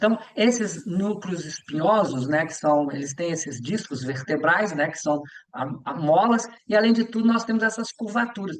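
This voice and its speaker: Over noticeable background noise, a man with a high pitch talks at a moderate pace using lively intonation. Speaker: yoga teacher and physical education teacher. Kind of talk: lecture. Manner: halting with many fillers.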